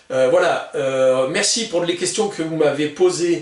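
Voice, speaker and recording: Against noticeable background noise and audible room echo, a man is speaking. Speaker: gun collector YouTuber. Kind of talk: product presentation video. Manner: hesitant, many filler sounds; usually slow-paced.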